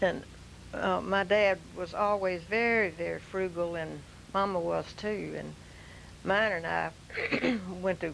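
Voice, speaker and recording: A woman with a Louisiana accent, at a fairly slow pace. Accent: Southern US (Louisiana). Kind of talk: oral history reminiscence. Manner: slow, hesitant.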